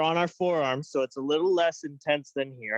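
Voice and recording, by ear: A man talks at a fairly quick pace with fairly high pitch. His intonation is fairly even.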